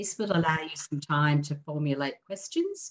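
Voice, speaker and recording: Against a quiet background, a woman speaks at a moderate pace with a very deep, low pitch. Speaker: webinar host. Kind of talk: formal introduction. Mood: calm, respectful. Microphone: video call.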